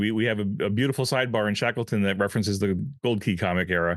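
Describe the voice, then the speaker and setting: Very fast and very even in loudness, a man speaks with ordinary pitch variation. His pitch is fairly low. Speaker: podcast co-host and game line editor. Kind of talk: casual chat.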